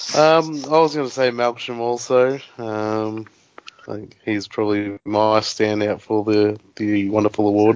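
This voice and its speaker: This man speaks in an Australian accent at a fairly slow pace. His voice is fairly low, with ordinary pitch variation. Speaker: podcast co-host. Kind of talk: casual chat.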